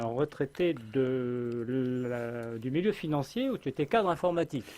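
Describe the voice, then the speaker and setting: Lively intonation marks a man's fairly slow delivery. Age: 60s. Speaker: political commentator. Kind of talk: radio interview. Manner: animated.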